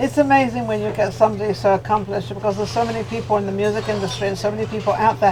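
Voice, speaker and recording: A woman's very deep, low voice at a very fast pace with lively intonation, amid noticeable background noise. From England. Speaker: talk show host. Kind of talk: casual interview chat. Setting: lounge, on-location interview.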